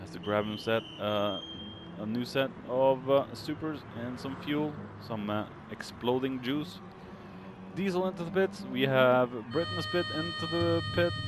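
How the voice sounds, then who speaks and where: Over noticeable background noise, a man at medium pitch speaks at a fairly slow pace with long, frequent pauses and very wide pitch swings. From Norway. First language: Norwegian. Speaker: sim racing commentator. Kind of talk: live commentary. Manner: halting, many fillers.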